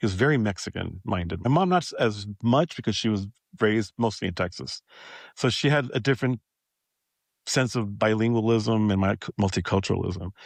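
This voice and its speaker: A man with an American accent speaks fairly quickly at a fairly low pitch with lively intonation, the sound dry and close with no echo against a quiet background. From Los Angeles area, US (Pico Rivera). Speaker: podcast host. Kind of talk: interview conversation. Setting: workshop.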